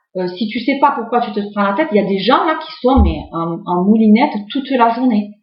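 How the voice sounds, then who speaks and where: Audible room echo surrounds a woman who speaks at a moderate pace with a fairly high pitch and lively intonation. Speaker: tarot card reader. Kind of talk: tarot reading video, casual monologue. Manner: hesitant, many fillers.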